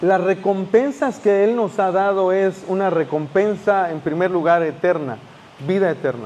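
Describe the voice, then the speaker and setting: Here a man speaks slowly-ish, at a fairly slow pace, with a high pitch. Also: ordinary pitch variation. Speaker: pastor. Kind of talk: sermon.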